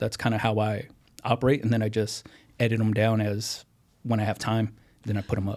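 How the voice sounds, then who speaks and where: A man with an ordinary speaking voice talks at a fairly quick pace on a very clean recording with a silent background. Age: 30s. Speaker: YouTuber teaching home apparel business. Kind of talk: casual interview chat.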